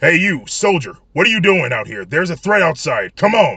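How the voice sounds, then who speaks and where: A man speaks at a moderate pace in a put-on character voice, raised and projected, high-pitched and raspy, with lively intonation. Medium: read story. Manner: barking, impatient.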